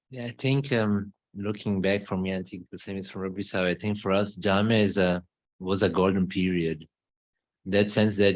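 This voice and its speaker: Against a quiet background, a man with a fairly low pitch talks at a moderate pace. His intonation is monotone and flat. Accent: German. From Germany. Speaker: missionary. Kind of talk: conversational interview. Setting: mosque.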